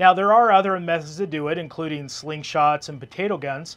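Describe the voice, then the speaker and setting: A man talks at a fairly quick pace with ordinary pitch variation. His loudness swings a lot. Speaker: radio hobby podcaster. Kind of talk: tutorial. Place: garden.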